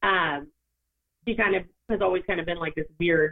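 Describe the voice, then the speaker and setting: A woman with an American accent talks at a moderate pace. Her pitch sits in the medium range. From Orange, California. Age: 30s. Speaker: makeup artist and entrepreneur. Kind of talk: casual interview chat.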